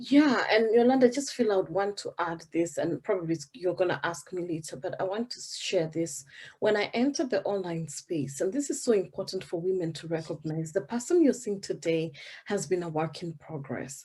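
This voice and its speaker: A woman's somewhat breathy, dark, mellow voice at medium pitch, with lively intonation, a moderate pace and a Kenyan accent, on a very clean recording with a silent background. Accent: Kenyan, African. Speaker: business coach. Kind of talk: interview.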